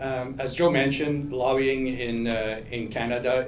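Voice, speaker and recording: The speech comes at a fairly slow pace with fairly even intonation. Audible room echo and noticeable background noise are present. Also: man. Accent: Quebec. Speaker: lobbyist. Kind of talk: panel discussion. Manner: halting, many fillers.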